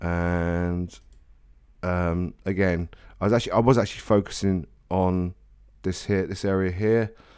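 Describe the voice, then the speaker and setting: Recorded very cleanly against a silent background, the voice has a dark, mellow tone and flat, monotone intonation at a fairly slow pace. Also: man. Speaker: film photography vlogger. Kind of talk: casual review commentary. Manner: halting.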